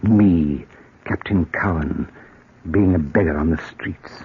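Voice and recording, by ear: In a put-on character voice, a man speaks slowly at a low pitch with a husky, rough edge. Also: ordinary pitch variation.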